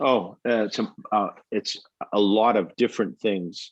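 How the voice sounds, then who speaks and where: A man with a Texan accent speaks with fairly even intonation. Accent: Texan American English. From Texas. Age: 60s. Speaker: pilgrim and hiker. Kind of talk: interview. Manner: halting.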